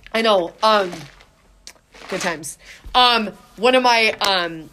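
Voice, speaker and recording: A woman speaks at a fairly slow pace with noticeable background noise. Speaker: podcast host. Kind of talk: casual chat. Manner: loud.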